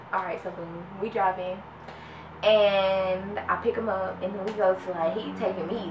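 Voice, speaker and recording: A woman's fairly low voice amid noticeable background noise. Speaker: vlogger. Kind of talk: casual storytime chat. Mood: amused, laughing often. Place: home room. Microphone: camera far.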